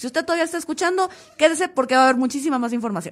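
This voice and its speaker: At a very fast pace, a woman talks in an animated tone with lively intonation. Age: 30s. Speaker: podcast host. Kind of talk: casual chat.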